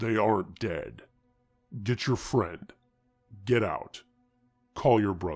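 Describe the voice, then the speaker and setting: Putting on a character voice, a man talks at a fairly slow pace with long, frequent pauses. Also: fairly low pitch for a man, ordinary pitch variation. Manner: ominous, commanding.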